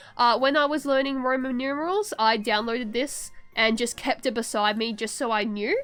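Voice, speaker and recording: A woman with a high pitch speaks at a fairly quick pace with lively intonation on a very clean recording with a silent background. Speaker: vtuber streamer. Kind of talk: tutorial. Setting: live stream. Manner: fast; halting.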